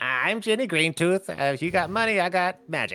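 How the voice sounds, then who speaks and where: In a put-on character voice, a raspy, cackling speaker talks at a moderate pace with a middle pitch. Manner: cackling, raspy, sly.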